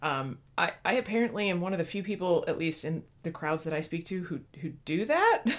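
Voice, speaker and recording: A woman with an American accent speaks fairly quickly in a fairly low pitch, with hardly any pauses and ordinary pitch variation. Noticeable background noise runs under her voice. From US Midwest. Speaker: podcast co-host. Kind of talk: casual chat.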